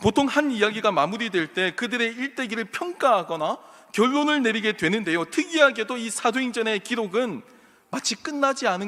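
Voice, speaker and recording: With a high pitch and lively intonation, a man talks at a fairly quick pace. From South Korea, Gyeongsang region. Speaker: pastor. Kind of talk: sermon.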